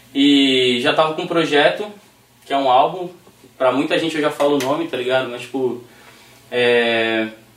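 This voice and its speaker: With noticeable background noise and audible room echo, a man at a fairly high pitch speaks at a moderate pace with ordinary pitch variation and long, frequent pauses. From Recife, Brazil, raised in São Paulo state. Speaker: rapper. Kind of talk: casual chat.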